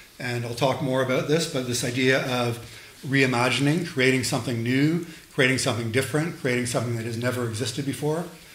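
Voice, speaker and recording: Audible room echo and noticeable background noise surround the voice. It runs at a very fast pace with fairly even intonation. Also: man, medium pitch for a man. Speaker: lecturer and sound artist. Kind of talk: lecture. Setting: lecture hall with audience.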